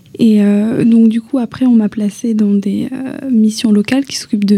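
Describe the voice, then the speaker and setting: A woman talks at a moderate pace in a fairly high pitch with fairly even intonation. Her voice is somewhat breathy, with a dark, mellow tone. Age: 20s. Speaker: young traveller. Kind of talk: radio interview.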